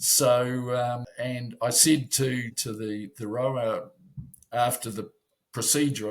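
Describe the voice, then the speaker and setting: Somewhat breathy, a man speaks at a medium pitch with fairly even intonation. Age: 70s. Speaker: masters rower. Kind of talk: interview. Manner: halting.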